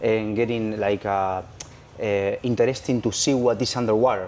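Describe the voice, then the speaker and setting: His intonation fairly even, a man delivers his words at a moderate pace. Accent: Spanish. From Argentina. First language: Spanish. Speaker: freediving instructor. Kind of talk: interview. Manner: halting.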